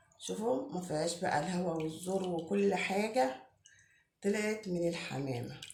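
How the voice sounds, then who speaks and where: In an Egyptian accent, a woman with a medium-pitched, somewhat breathy voice speaks fairly slowly with lively intonation, and audible echo fills the room. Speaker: home cook. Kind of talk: tutorial. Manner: casual, chatty.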